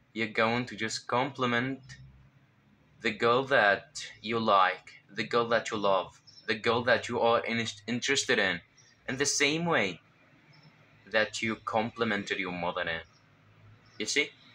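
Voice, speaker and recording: A man speaks at a fairly slow pace with a Levantine Arabic accent, pausing long and often. His voice is medium in pitch, with a bright, sharp tone. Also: ordinary pitch variation. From Syria. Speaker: self-improvement vlogger. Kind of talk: casual advice vlog. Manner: halting, with fillers and self-corrections.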